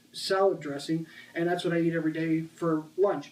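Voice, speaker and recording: Fairly high male voice, flat and monotone in its intonation. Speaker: fitness vlogger. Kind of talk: casual video monologue. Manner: fast; halting with filler words.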